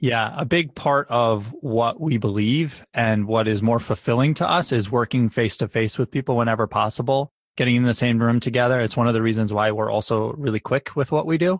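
With a normal speaking voice at medium pitch, a man talks at a fairly quick pace with ordinary pitch variation and hardly any pauses, recorded dry and close with no echo against a quiet background. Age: 30s. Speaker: tech company founder and CEO. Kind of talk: interview.

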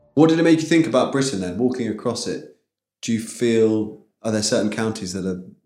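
A man speaks at a fairly quick pace with a medium pitch and ordinary pitch variation. His tone is dark and mellow, and the room echo is audible. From Oxford, England. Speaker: magazine editor and podcast host. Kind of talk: casual interview.

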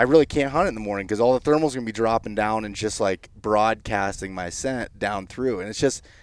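In a very clean recording with a silent background, a man with an ordinary speaking voice talks at a medium pitch and a fairly quick pace, with ordinary pitch variation, hardly any pauses and big swings in loudness. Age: 30s. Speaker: hunter and podcast host. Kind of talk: casual chat. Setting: in person, Utah.

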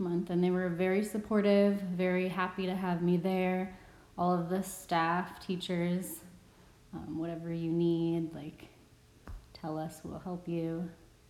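A woman's fairly low, monotone, flat delivery in an American accent, fairly slow, with audible room echo. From Wisconsin. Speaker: bilingual speech-language pathologist. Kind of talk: casual chat.

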